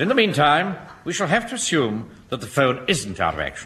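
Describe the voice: This put-on character voice is bright and sharp, with very wide pitch swings at a fairly quick pace. Audible room echo surrounds it. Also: man, fairly high pitch for a man.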